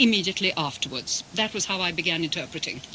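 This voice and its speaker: A woman at medium pitch talks over noticeable background noise. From England, Russian émigré family. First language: Russian. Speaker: interpreter. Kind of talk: interview.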